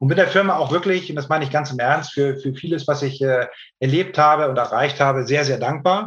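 Using a plain, everyday voice, a man speaks at a fairly high pitch with ordinary pitch variation. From northern Germany, Hamburg. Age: 40s. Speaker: hearing aid company sales director. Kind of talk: interview.

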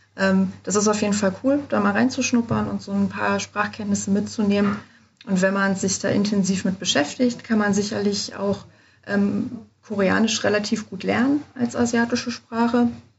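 Woman at a moderate pace, medium pitch, fairly even intonation, somewhat breathy. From Germany. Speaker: study abroad advisor. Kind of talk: casual interview. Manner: hesitant with many fillers.

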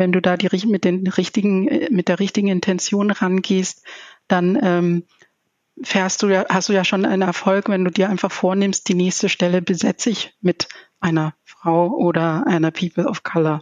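A woman's medium-pitched voice at a moderate pace, with ordinary pitch variation and very even loudness. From Zambia. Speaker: project management director, leadership expert. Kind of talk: interview. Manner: halting.

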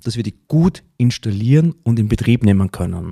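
A man with a dark, mellow, somewhat breathy tone, very wide pitch swings and a moderate pace, in a dry, close sound with no echo. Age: 40s. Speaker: podcast host and decision coach. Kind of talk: podcast monologue.

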